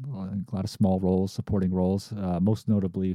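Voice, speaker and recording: In an upstate New York accent, a man talks at a very fast pace with a very deep, low pitch and a dark, mellow tone, in a dry, close sound with no echo and a quiet background. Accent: upstate New York American. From upstate New York (Amsterdam, near Albany). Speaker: filmmaker and podcast host. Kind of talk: solo podcast monologue. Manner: casual with frequent fillers (uh, um).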